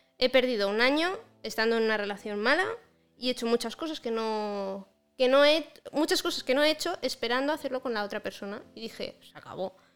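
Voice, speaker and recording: A high-pitched woman talks at a fairly quick pace, her intonation lively and her loudness swinging widely. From Andorra. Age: 20s. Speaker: graphic designer. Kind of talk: casual chat.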